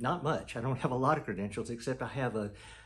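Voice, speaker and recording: The voice of a man is somewhat breathy and sits at medium pitch. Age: 70s. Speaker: pastor. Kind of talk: testimony. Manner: halting.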